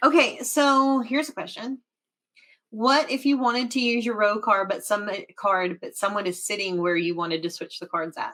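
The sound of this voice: Speaking at a moderate pace, the woman has a medium pitch. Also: fairly even intonation, fairly bright tone.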